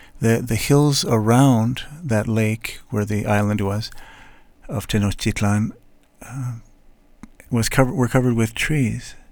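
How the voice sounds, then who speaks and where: A man with an American accent talks at a medium pitch and a fairly slow pace. His intonation is fairly even, broken by long, frequent pauses. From United States. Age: 60s. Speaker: podcast host. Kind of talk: solo monologue. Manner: halting.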